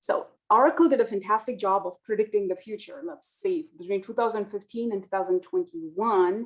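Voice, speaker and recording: Lively intonation at a fairly quick pace, with hardly any pauses. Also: woman, fairly high pitch for a woman. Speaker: physician executive. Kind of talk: webinar presentation. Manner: fast.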